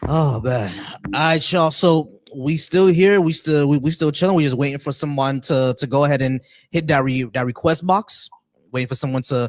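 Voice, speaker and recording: A man at a moderate pace and fairly high pitch, with ordinary pitch variation. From US, Haitian American family. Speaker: livestream debate host. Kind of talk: casual chat. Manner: repetitive, stumbling.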